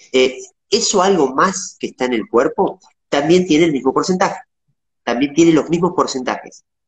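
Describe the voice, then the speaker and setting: With a Rioplatense accent, a man talks at a moderate pace, his fairly high pitch showing ordinary variation. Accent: Argentine Spanish (rioplatense). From Argentina, Patagonia (Viedma); Patagonia, Argentina. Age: 40s. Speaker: interviewee. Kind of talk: interview. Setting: video call. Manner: halting.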